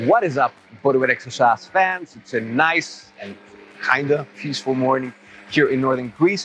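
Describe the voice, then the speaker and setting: A man speaks at a moderate pace with ordinary pitch variation and big swings in loudness, the sound dry with no echo over faint background music. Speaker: fitness coach. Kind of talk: casual vlog intro. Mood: upbeat, relaxed. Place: open country.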